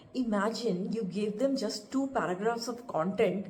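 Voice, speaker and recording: A woman speaks at a moderate pace in a medium-pitched voice with fairly even intonation. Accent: Indian. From India. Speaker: instructional designer and author. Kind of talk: podcast talk. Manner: unscripted, casual.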